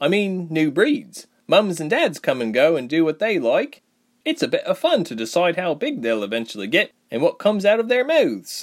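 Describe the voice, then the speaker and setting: A man's put-on character voice, high in pitch, at a moderate pace. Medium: audio drama. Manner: easygoing, happy, chatty.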